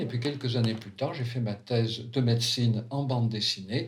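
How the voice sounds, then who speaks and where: Somewhat breathy, a man speaks fairly quickly at a medium pitch with fairly even intonation and audible room echo. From France, Valence. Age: 70s. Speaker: psychiatrist. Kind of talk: autobiographical narration.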